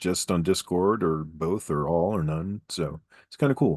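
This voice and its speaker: Against a quiet background, a man speaks with ordinary pitch variation in a dry, close sound with no echo. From New Mexico, US. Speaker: game designer and content creator. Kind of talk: casual interview chat. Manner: halting, many fillers.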